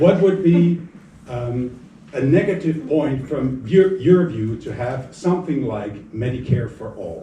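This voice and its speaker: A man in a Swiss accent, fairly high-pitched for a man, at a fairly slow pace, with lively intonation, big swings in loudness, audible room echo and noticeable background noise. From Switzerland. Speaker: audience member asking question. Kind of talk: town hall question. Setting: town hall with audience.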